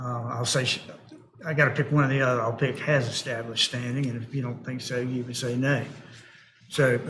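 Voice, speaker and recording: The speaker mumbles in a monotone with flat intonation. Noticeable background noise and audible room echo fill the recording. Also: man. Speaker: board chair. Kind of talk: public board hearing. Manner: mumbling; quiet.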